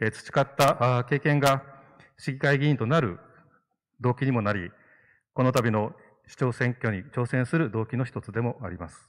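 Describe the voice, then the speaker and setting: With ordinary pitch variation, the man's delivery keeps a moderate pace. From Okinawa, Ishigaki; Okinawa, Japan. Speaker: city councillor and election candidate; city councillor, election candidate. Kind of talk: public debate speech. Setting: hall with audience. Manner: formal. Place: stage. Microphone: handheld.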